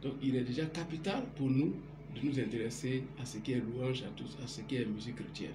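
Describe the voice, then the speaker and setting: A man speaks with ordinary pitch variation. Noticeable background noise sits behind him. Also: moderate pace. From Guinea, forest region (Macenta). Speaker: computer technician. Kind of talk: on-camera interview. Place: home room. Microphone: phone near.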